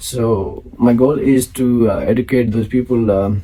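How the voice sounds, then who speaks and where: A man of medium pitch with an Indian accent, against noticeable background noise. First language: Maithili. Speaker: finance show host. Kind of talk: solo talk to camera. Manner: halting, many fillers.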